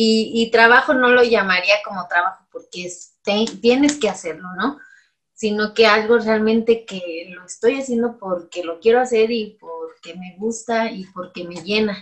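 A woman's unremarkable speaking voice, fairly high in pitch, with ordinary pitch variation at a fairly slow pace. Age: 30s. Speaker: dentist. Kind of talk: interview.

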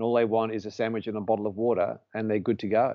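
The speaker is a man. His accent is Australian. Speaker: podcast guest, charity supporter and volunteer firefighter. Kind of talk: casual interview chat.

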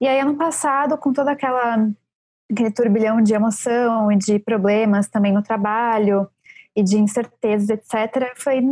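At a moderate pace and with fairly even intonation, an ordinary speaking voice comes through in a dry, close sound with no echo. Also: woman. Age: 30s. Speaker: book editor and baker. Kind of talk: casual chat.

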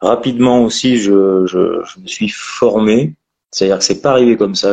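A man talks at a fairly slow pace in an unremarkable speaking voice, his pitch medium and his pitch variation ordinary. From France, Périgord. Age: 30s. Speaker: landscaping entrepreneur. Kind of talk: interview.

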